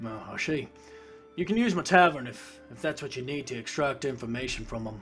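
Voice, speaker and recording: Doing a raspy put-on character voice, a man of medium pitch talks at a fairly quick pace with lively intonation and big swings in loudness, while clear music plays in the background. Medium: actual play.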